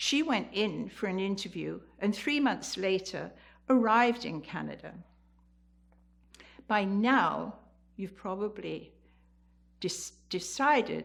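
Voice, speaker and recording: Speaking very slowly with an English accent, a woman uses lively intonation, a medium pitch and vocal fry. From England, the Fens (Cambridgeshire). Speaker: community storyteller, senior. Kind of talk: personal storytelling.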